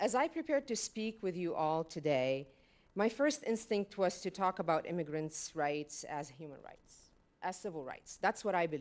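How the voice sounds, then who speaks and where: A woman of medium pitch talks at a moderate pace, her voice making very wide pitch swings and big swings in loudness. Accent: slight French. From Lebanon. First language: French. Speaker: panel speaker on migration. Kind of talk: prepared speech. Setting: stage with audience.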